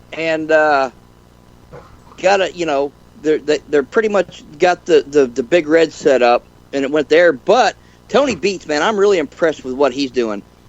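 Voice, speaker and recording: With lively intonation, a man talks in an ordinary speaking voice that sits at a fairly high pitch. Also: moderate pace. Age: 60s. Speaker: gold prospector and panel regular. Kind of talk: casual panel chat on live radio show.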